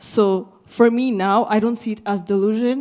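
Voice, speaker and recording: A woman talks at a fairly slow pace and a fairly high pitch. Her tone is dark and mellow. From Rwanda. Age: 20s. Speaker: young mentee. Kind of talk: short audience speech.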